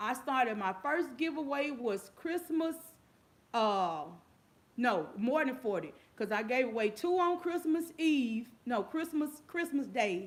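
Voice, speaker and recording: The woman's high voice swings very widely in pitch as she talks at a fairly slow pace. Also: very even loudness. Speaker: YouTube giveaway host. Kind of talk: casual livestream chat. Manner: loud; repetitive.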